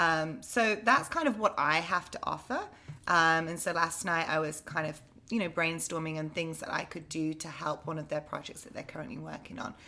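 A woman speaks with an English accent at a moderate pace, her pitch fairly low with ordinary variation. Her tone is bright and sharp, with big swings in loudness. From England. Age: 30s. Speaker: on-camera presenter. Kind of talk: casual chat.

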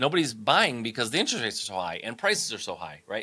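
A man's bright, sharp voice at medium pitch, with a Midwestern American accent, in a very clean recording over a silent background. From Michigan, US Midwest. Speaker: entrepreneur and business coach. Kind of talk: interview.

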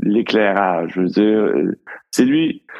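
A man speaks at a very slow pace with a Quebec accent. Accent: Québécois French. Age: 60s. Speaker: cinematographer. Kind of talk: casual chat.

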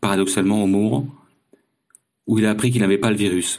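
Recorded very cleanly against a silent background, a man talks at a fairly low pitch with fairly even intonation. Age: 50s. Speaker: long-distance cycling traveller. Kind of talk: recorded personal diary testimony.

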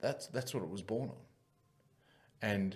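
Speaking with an Australian accent, a man has a fairly low pitch and a somewhat breathy voice. His pace is moderate and his intonation lively. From Wagga, New South Wales, Australia. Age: 30s. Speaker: former rugby league player and boxer, mental health advocate. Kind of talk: interview conversation.

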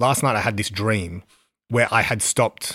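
A man's fairly low voice with an Australian accent, bright and sharp in tone, with ordinary pitch variation and a dry, close sound with no echo. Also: very clean recording, silent background. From Western Sydney, Australia. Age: 30s. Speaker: record label founder. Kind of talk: interview. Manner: casual, filler-heavy.

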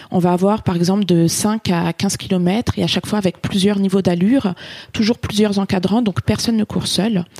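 A woman with an ordinary speaking voice talks at a moderate pace and medium pitch, with fairly even intonation and very even loudness, in a dry, close sound with no echo. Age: 30s. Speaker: running club captain. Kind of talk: interview testimony.

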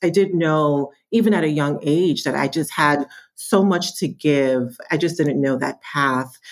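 At a fairly slow pace, a woman speaks with a very deep, low pitch. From New York, born in Jamaica. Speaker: marketing executive. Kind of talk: interview.

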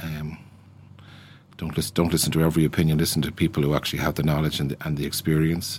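Monotone and flat, a man speaks at a very deep, low pitch. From Ireland, Dublin. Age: 60s. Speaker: business founder. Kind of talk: interview. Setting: studio.

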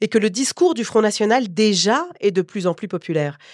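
A woman speaks at a moderate pace with lively intonation and a plain, everyday voice. The recording is very clean, with a silent background and a dry, close sound with no echo. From Paris suburbs. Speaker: journalist and podcast host. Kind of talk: casual chat; scripted narration.

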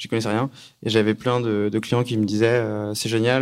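A man's fairly low voice at a very fast pace, monotone and flat in intonation. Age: 20s. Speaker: startup co-founder. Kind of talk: talk with audience.

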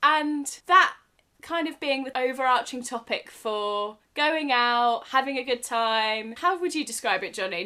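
Speaking at a fairly slow pace, a woman uses a high pitch, a bright, sharp tone and ordinary pitch variation. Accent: English. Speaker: podcast co-host. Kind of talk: casual chat.

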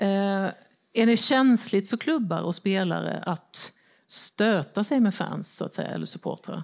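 A woman talks at a fairly slow pace with vocal fry and lively intonation. The recording is very clean, with a silent background. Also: medium pitch for a woman. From Småland, Sweden (Växjö). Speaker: newspaper editor and panel moderator. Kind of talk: moderated panel discussion. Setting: stage with audience.

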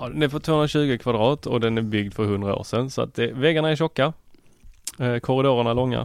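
A man talks in a normal speaking voice at a moderate pace. His pitch is medium, with ordinary variation. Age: 30s. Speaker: tech podcast guest co-host. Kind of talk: casual chat. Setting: studio.

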